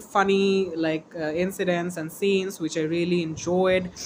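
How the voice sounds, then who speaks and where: A woman with a non-native accent, fairly low in pitch, at a moderate pace, over noticeable background noise. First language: not English. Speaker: book vlogger. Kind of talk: casual vlog. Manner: halting, hesitant with fillers.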